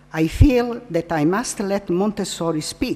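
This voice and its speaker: A woman with a non-native accent speaks at a fairly slow pace with lively intonation. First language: Italian. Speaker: psychiatrist and Montessori trainer. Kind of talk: lecture. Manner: halting.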